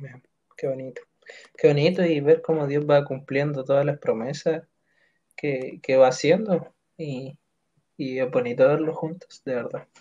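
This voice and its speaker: A man with a Chilean accent talks at a fairly slow pace with long, frequent pauses and big swings in loudness. His dark, mellow, somewhat breathy voice is fairly high in pitch, with ordinary pitch variation. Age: 20s. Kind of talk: casual chat.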